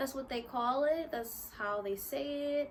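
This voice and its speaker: Using a raised, projected voice with a bright, sharp tone, a woman speaks at a high pitch and a fairly slow pace with ordinary pitch variation. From US, Philadelphia (North Philly). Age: 20s. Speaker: YouTuber. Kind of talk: casual vlog talk to camera. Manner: casual, animated.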